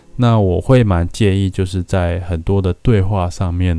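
A man talks at a fairly slow pace with a very deep, low pitch and fairly even intonation. His tone is dark and mellow on a very clean recording with a silent background. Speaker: podcast host, paramedic student. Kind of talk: scripted narration.

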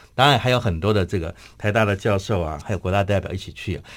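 A man speaks fairly quickly, and the recording is very clean with a silent background. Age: 50s. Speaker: memorial foundation chairman, grandson of a general. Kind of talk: radio interview, personal reminiscence. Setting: radio studio.

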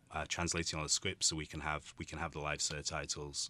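Against a quiet background, a man talks in a Yorkshire accent. His very deep, low voice has a bright, sharp tone and monotone, flat intonation. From Yorkshire, northern England. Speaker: actor and theatre director. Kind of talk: interview. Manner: halting, many fillers.

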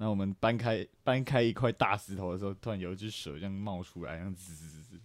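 A man talks fairly quickly at a fairly low pitch, in a plain, everyday voice with hardly any pauses. His pitch variation is ordinary, while his loudness swings a lot. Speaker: podcast co-host. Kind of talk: casual chat.

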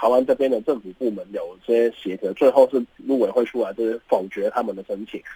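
A man speaks at a fairly quick pace with ordinary pitch variation in a plain, everyday voice, the sound dry and close with no echo. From Hong Kong. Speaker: graduate student. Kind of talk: radio interview. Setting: studio.

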